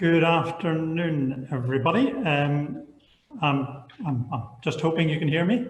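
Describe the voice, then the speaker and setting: With a Northern Irish accent, a man speaks at a fairly high pitch and a fairly slow pace. His intonation is lively, and audible room echo is present. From Northern Ireland, Belfast. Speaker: architect. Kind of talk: online panel presentation. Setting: online video panel. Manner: halting, repeats words.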